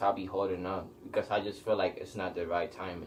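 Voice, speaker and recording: This is a man speaking with a Puerto Rican accent. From Puerto Rico (San Juan). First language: Spanish. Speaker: musician and clothing brand owner. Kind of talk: casual interview chat.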